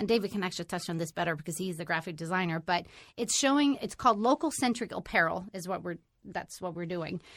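Lively in intonation, a woman talks at a very fast pace. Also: medium pitch for a woman, very clean recording, silent background. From Sweden. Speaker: company employee and entrepreneur. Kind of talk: interview.

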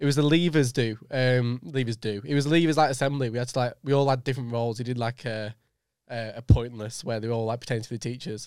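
Talking at a very fast pace, a man speaks with a Lancashire accent. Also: medium pitch for a man, ordinary pitch variation. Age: 20s. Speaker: podcast host. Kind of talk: casual chat. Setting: studio.

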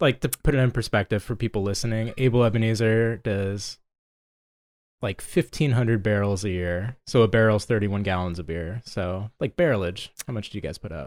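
In a very clean, silent recording with a dry, close sound and no echo, a man speaks in an ordinary speaking voice, fairly low in pitch with ordinary pitch variation, at a fairly quick pace. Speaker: podcast co-host and brewery co-founder. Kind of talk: casual chat.

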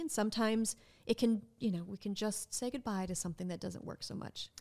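A woman's plain, everyday voice, fairly high in pitch, at a fairly quick pace with an American accent. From Minnesota. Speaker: nonprofit executive director. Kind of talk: casual interview.

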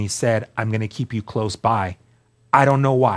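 A man with a plain, everyday voice speaks at a moderate pace in a fairly low pitch. His intonation is fairly even, and the recording is very clean with a silent background. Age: 40s. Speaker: guest sharing recovery testimony. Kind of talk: testimony.

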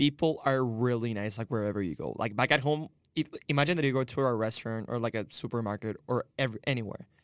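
On a very clean recording with a silent background, a man with a Spanish accent speaks at a very fast pace. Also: medium pitch for a man, ordinary pitch variation. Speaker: international student. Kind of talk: roundtable discussion.

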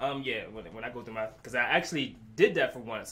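Noticeable background noise and audible room echo around a man's very fast delivery. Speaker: music reviewer. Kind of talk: casual chat.

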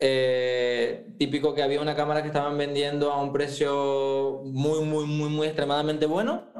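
A man with fairly high pitch and fairly even intonation speaks at a moderate pace amid audible room echo. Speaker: food photographer. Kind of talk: interview.

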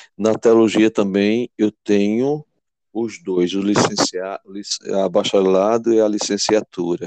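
This man's voice sits fairly low in pitch, and he speaks at a very slow pace with fairly even intonation. The sound is dry and close, with no echo. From Pernambuco, Brazil (Belo Jardim). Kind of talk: interview.

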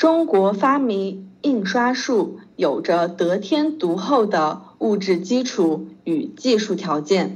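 Very slowly, a woman speaks with vocal fry and very wide pitch swings. Audible room echo fills the sound. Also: medium pitch for a woman, hardly any pauses. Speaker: Chinese language tutor. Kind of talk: language lesson. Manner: slow, patient.

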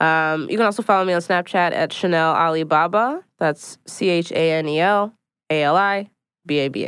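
A woman talks in a plain, everyday voice with an American accent, at a fairly low pitch and moderate pace. Her pitch varies in an ordinary way, and the background is quiet. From Philadelphia, US. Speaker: stand-up comedian and writer. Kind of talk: casual chat.

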